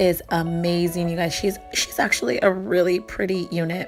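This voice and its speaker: Music plays behind the speaker. A woman talks at a medium pitch. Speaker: wig reviewer. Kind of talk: casual talk to camera.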